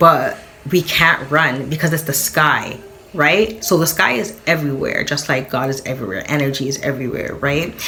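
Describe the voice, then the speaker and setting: Over noticeable background noise, a woman with a very deep, low pitch speaks in an animated tone with ordinary pitch variation. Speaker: spiritual content creator. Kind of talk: casual monologue. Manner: fast.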